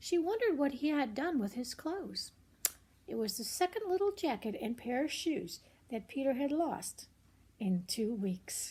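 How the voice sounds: A woman with a high pitch and big pitch swings, a slightly mellow tone with a slightly husky edge, at a fairly slow pace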